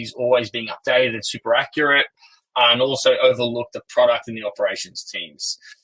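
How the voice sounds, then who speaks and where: The sound is dry and close, with no echo. A man speaks at a medium pitch and a fairly quick pace in a flat monotone. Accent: Australian. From Australia. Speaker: company co-founder and CEO. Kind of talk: investor webinar presentation. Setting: online webinar.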